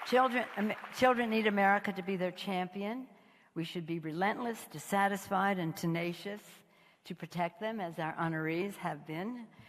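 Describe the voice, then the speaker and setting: A woman's medium-pitched voice with ordinary pitch variation, over noticeable background noise. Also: moderate pace. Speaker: politician, House party leader. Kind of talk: public speech at a gala. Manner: halting, stumbling, slurred at times.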